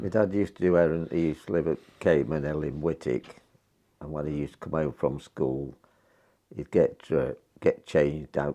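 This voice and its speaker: A man with an East Midlands accent, a very deep, low pitch, a dark, mellow tone, fairly even intonation and a moderate pace. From North West Leicestershire, England. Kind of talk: interview answer. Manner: casual, reminiscing.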